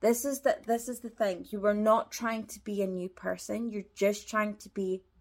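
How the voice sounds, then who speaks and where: A woman talks at a medium pitch with ordinary pitch variation. She has a plain, everyday voice. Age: 20s. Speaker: life coach podcast host. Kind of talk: motivational solo monologue.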